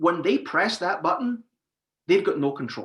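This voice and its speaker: A man's voice with a bright, sharp tone. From Scotland. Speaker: industry expert. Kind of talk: webinar panel discussion.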